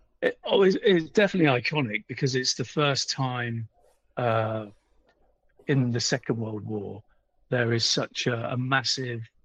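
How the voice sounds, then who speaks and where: A man with a British accent at a medium pitch, moderate pace and ordinary pitch variation, with long, frequent pauses, in a dry, close sound with no echo. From UK. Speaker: author and history publisher. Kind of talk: interview.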